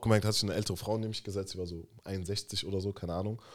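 With fairly even intonation, a man talks at a very fast pace. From Germany. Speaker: podcast co-host. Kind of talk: casual chat.

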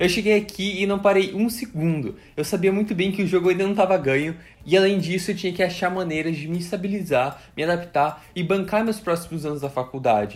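Ordinary pitch variation in a man's voice, high in pitch and fairly quick in pace. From Brazil, Curitiba (Paraná). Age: 20s. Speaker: student and content creator. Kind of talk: personal story monologue. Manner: animated.

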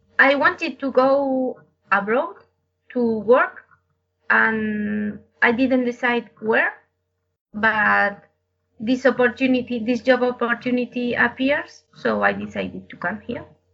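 A woman with a high pitch speaks in a Spanish accent at a very slow pace. Her pauses are long and frequent, and her loudness swings widely. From Madrid, Spain. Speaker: brewery lab scientist, interviewee. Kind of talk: interview, answering questions in a second language.

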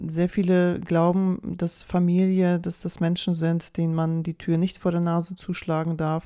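A woman's dark, mellow voice moves at a fairly slow pace in a flat monotone, captured in a very clean recording with a silent background. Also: fairly low pitch for a woman. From Poland until age five, then Germany. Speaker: health podcast host. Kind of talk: solo podcast monologue. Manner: casual, with filler sounds.

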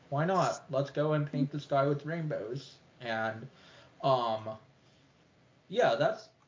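At a very slow pace, a man speaks with a fairly high pitch and a somewhat breathy voice. His pitch variation is ordinary, and he takes long, frequent pauses. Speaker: podcast co-host, movie reviewer. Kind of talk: casual chat, movie review podcast. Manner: casual, laughs often.

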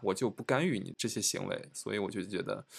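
The delivery is very fast. The recording is very clean, with a silent background. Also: man. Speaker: podcast host. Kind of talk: casual chat.

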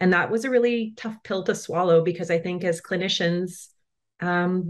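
A woman's unremarkable speaking voice with a Canadian accent, medium pitch, fairly even intonation and a moderate pace. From Manitoba, Canada. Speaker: dental therapist. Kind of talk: interview.

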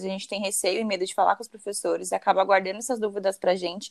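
A woman speaks at a very fast pace in a medium pitch. Her intonation is monotone and flat. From São Paulo, Brazil. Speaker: podcast host, dentist. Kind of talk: casual interview.

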